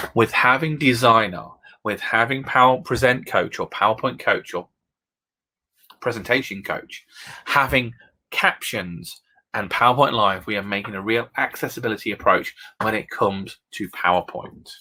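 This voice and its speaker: In a British accent, a man speaks at medium pitch with ordinary pitch variation and a bright, sharp, animated tone, in a very clean recording with a silent background. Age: 30s. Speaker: education technology consultant. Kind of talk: presentation with live demo. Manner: fast.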